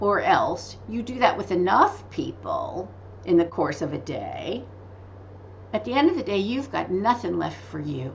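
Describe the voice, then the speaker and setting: The pace of this woman's speech is fairly slow. Audible room echo surrounds her voice. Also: big swings in loudness. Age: 60s. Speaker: author and medical intuitive. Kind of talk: interview. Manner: animated.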